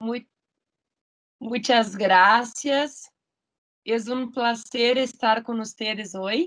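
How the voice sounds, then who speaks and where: Long, frequent pauses mark this woman's very slow speech. She has a Portuguese accent and fairly even intonation. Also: fairly high pitch for a woman. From Brazil. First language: Portuguese (speaking Spanish). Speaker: law school coordinator. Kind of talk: formal video conference introduction. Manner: halting.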